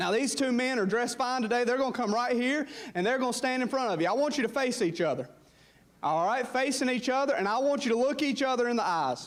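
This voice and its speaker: A man with a Southern US accent speaks at a very fast pace in an extremely high pitch, his loudness very even and his pitch varying an ordinary amount, with audible room echo. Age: 20s. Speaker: pastor. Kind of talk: sermon. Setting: church. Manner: animated.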